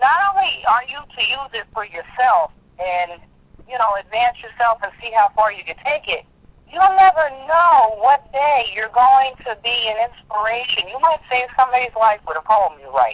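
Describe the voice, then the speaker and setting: With a strong US East Coast accent, a woman talks at a moderate pace in a high voice, her pitch swinging very widely and her loudness rising and falling sharply. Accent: heavy US East Coast. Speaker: spoken word poet. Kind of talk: interview conversation.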